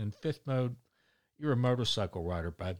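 Against a very clean recording with a silent background, a man speaks at a fairly quick pace and medium pitch. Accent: Baltimore. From Baltimore, Maryland. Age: 60s. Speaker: podcast host and volunteer trash picker. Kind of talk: casual chat, solo monologue. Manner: rambling, casual, humorous.

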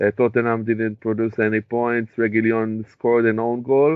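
At a moderate pace, a man with an Israeli accent speaks at a medium pitch. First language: Hebrew. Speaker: podcast co-host. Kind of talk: casual chat.

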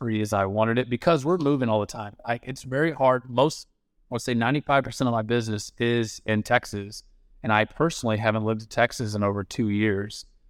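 A man's normal speaking voice at a fairly quick pace, ordinary pitch variation, very clean recording and silent background. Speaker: guest, insurance agent turned real estate investor. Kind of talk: casual interview chat.

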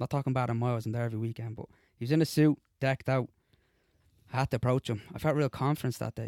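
A man talks at a very fast pace and a medium pitch, his intonation fairly even, broken up by long, frequent pauses. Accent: Dublin. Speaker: co-host, amateur footballer. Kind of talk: casual banter. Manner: jokey, talkative.

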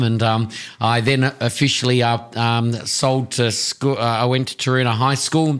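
A man speaks in an Australian accent at a medium pitch. His intonation is monotone and flat. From Tasmania, Australia. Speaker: tourism business owner. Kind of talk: interview.

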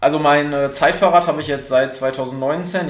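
A man's fairly high-pitched voice at a moderate pace, flat and monotone, with audible room echo and noticeable background noise. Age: 20s. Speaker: triathlete. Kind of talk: interview.

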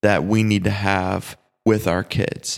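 A man talks with ordinary pitch variation. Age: 20s. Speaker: youth pastor and podcast host. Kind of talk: casual teaching monologue.

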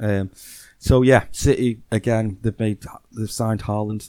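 A man with an English accent, a fairly low pitch, a dark, mellow tone and a moderate pace. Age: 30s. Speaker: football podcast co-host. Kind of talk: casual chat.

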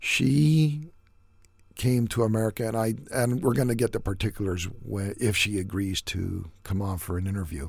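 Moving at a moderate speed, the delivery carries lively intonation and a somewhat breathy sound. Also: man, fairly low pitch for a man, very clean recording, silent background. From US, son of Yugoslav immigrants. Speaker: podcast host. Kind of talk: solo commentary monologue.

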